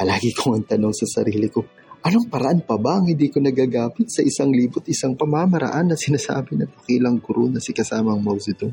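Over faint music in the background, a man does a put-on character voice at a fast pace, medium in pitch, dark and mellow yet with a husky, rough edge, vocal fry and lively intonation.

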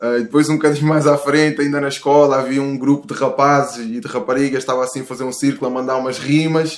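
A man speaks at medium pitch. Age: 30s. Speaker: rapper. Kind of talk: casual chat. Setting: home studio, remote call. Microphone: picking up host's voice without headphones.

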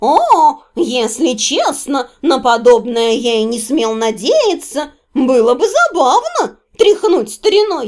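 A woman performs a put-on character voice, high-pitched and slightly mellow in tone. She talks at a slow pace with big pitch swings.

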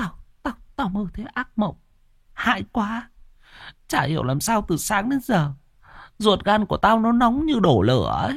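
A man puts on a character voice with a high pitch and big pitch swings. His pace is moderate.

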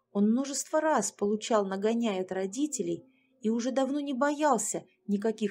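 The text is read aloud. The reading voice is unforced.

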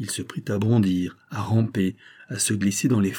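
Someone is reading aloud in a natural voice. Their intonation is fairly even throughout.

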